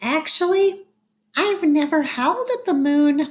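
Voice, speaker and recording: In a put-on character voice, the speaker goes high and squeaky at a fairly slow pace. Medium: read story. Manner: quiet, understated.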